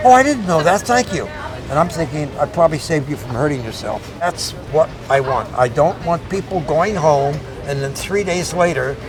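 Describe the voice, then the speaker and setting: Against music in the background and audible room echo, a man with a fairly high pitch talks at a fairly quick pace with ordinary pitch variation. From US Northeast (Philadelphia, New York City). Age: 70s. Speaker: veteran bodybuilder. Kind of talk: interview.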